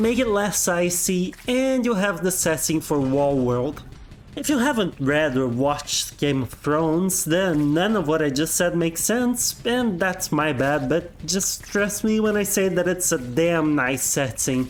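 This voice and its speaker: A man with a non-native accent talks at a fairly slow pace and a high pitch, his intonation lively and his loudness very even. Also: hardly any pauses. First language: not English. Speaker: game reviewer. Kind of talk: video game review narration. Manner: casual, humorous.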